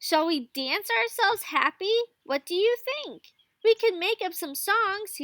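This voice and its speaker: A squeaky, put-on character voice from a woman, extremely high in pitch, at a fairly slow pace. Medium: read story. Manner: shy, gentle.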